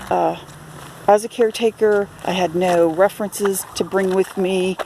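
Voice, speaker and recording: With noticeable background noise behind her, a woman speaks at medium pitch and a moderate pace in a monotone with flat intonation. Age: 60s. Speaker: self-promoting writer and photographer. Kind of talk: video self-introduction. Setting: outdoors at a campground. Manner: hesitant, many fillers.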